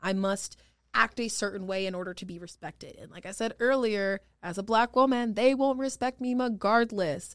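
In a very clean recording with a silent background, a woman with a normal speaking voice talks at a moderate pace, her fairly high pitch showing ordinary variation while her loudness swings widely. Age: 20s. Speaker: state senator. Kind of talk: podcast interview.

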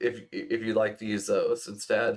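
A man's plain, everyday voice at a fairly slow pace, with ordinary pitch variation. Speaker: game master. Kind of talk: tabletop roleplaying game session.

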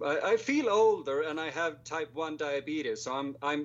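In a Swedish accent, a man speaks at a fairly slow pace. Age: 20s.

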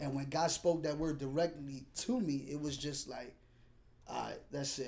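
This man has a plain, everyday voice with a fairly high pitch. He keeps a moderate pace and fairly even intonation. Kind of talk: testimony.

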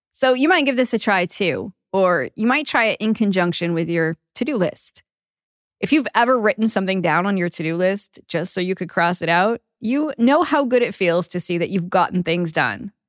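A woman with a plain, everyday voice speaks at a moderate pace and medium pitch. The sound is dry and close with no echo, on a very clean recording with a silent background. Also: lively intonation. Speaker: podcast host and psychotherapist. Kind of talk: interview.

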